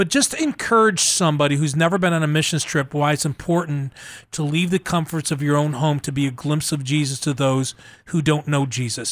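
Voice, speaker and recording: A man speaks in a plain, everyday voice at a fairly quick pace. His pitch sits fairly high. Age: 60s. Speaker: radio host of faith-based disaster relief show. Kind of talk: casual radio interview. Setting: radio broadcast.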